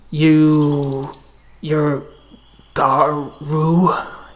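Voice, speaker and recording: A put-on character voice growls at a middle pitch in a monotone, flat delivery with audible echo. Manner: struggling, broken speech.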